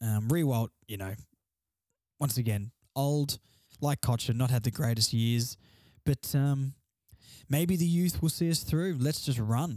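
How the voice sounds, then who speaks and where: With an Australian accent, the speaker has a dark, mellow tone and a fairly slow pace with long, frequent pauses, heard in a dry, close sound with no echo. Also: man, medium pitch for a man, ordinary pitch variation. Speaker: solo sports podcast host. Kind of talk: casual solo commentary. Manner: quieter than usual.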